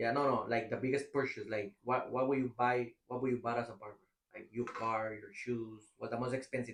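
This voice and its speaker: Flat and monotone, the speaker talks at a fairly quick pace with a strong non-native accent. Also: man, medium pitch for a man. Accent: strong foreign. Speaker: barber, podcast host. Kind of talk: casual chat.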